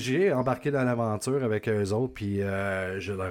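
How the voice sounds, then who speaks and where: A man of medium pitch speaks with a Quebec accent. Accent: Québécois French. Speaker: podcast host. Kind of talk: casual chat.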